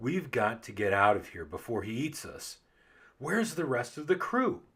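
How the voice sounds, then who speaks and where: In a put-on character voice, a man at medium pitch speaks at a moderate pace on a very clean recording with a silent background. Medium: read story. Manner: gruff, commanding.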